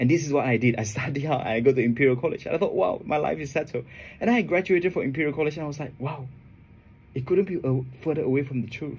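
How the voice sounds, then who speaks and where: A man talks at a very fast pace with a fairly high pitch. There's a somewhat breathy quality to his voice. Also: ordinary pitch variation. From Asia. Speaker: trading educator. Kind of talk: radio interview. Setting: radio studio. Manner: halting, many repetitions.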